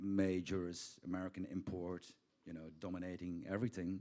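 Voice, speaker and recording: A man speaks with a Belgian accent. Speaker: record label founder. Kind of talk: panel interview. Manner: casual, halting with fillers.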